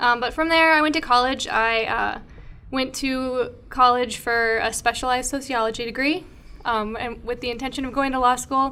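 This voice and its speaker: At a moderate pace, a woman with a slight Minnesota accent speaks in a high pitch with a bright, sharp tone. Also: fairly even intonation. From Minnesota, near the Twin Cities. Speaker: podcast co-host, horse equipment company account manager. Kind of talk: casual chat. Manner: relaxed, with frequent fillers.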